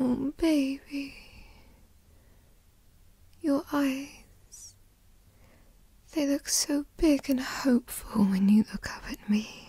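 Using a put-on character voice, a woman speaks at a very slow pace and high pitch with a dark, mellow tone, ordinary pitch variation, and long, frequent pauses.

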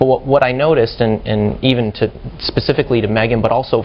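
The man speaks at a fairly quick pace with ordinary pitch variation. Faint background noise is present.

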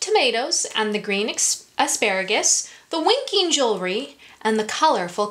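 What you hear is a natural reading voice.

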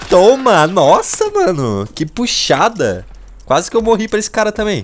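Noticeable background noise sits behind a man who speaks at a moderate tempo. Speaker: gaming YouTuber. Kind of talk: gameplay commentary. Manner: animated.

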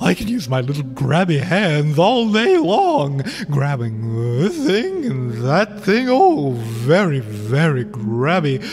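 Clear music plays in the background as a man does a put-on character voice. He speaks at a fairly slow pace with a fairly high pitch. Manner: gleeful, playful.

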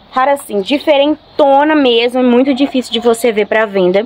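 Speaking high for a woman, she varies her pitch in an ordinary way. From Brazil. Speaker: plant seller and vlogger. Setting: home video recording, showing plants to camera. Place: garden. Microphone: phone near.

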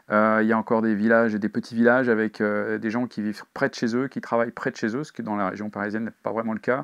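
A man's medium-pitched voice, very fast and monotone, with hardly any pauses and a quiet background. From Paris region, France; France. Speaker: crime novelist. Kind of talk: interview. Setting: bookshop signing. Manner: halting, frequent fillers. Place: shop.

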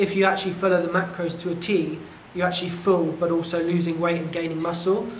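A man speaks with a high pitch and monotone, flat intonation. There is audible room echo and light background noise. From England, Devon; England. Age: 30s. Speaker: tech entrepreneur and fitness client. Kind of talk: testimonial interview. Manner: halting, with many fillers. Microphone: lapel.

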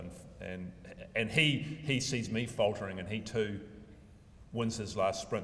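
In an ordinary speaking voice, this man talks at a moderate pace, his pitch fairly low. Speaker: speaker. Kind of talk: lecture. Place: hall. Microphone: podium.

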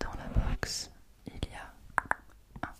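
A woman is speaking. She is whispering. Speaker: ASMR content creator. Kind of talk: ASMR skincare unboxing, whispered triggers. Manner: whispered, soft. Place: home room. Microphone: studio mic.

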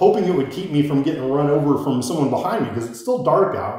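An American accent amid strong room echo. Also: man. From Iowa. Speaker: motorcycle vlogger. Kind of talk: casual monologue storytelling.

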